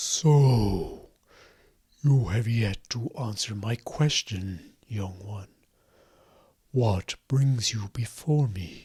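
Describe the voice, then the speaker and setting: A man does a booming, put-on character voice at medium pitch. He talks at a very slow pace, with long, frequent pauses. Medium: actual play. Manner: formal, measured.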